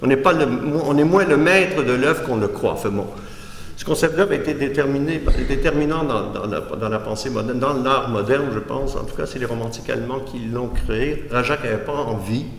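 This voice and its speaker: Fairly high-pitched for a man, this voice moves at a fairly quick pace with ordinary pitch variation, audible room echo and noticeable background noise. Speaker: art critic and philosopher. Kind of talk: lecture. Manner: halting, with frequent restarts.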